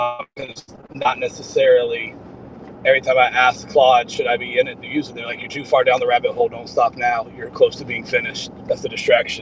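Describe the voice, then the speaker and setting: A man speaks at a fairly quick pace with big swings in loudness. Noticeable background noise runs underneath. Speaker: small business owner building AI tools. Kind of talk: casual video call conversation. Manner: hesitant, many fillers.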